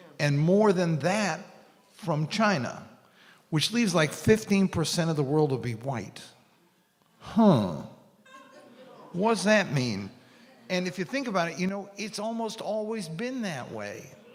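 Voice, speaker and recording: With an American accent, a man talks at a fairly slow pace in a high voice, using lively intonation, long and frequent pauses, and audible room echo around him. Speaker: panelist on foreign policy. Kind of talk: panel talk.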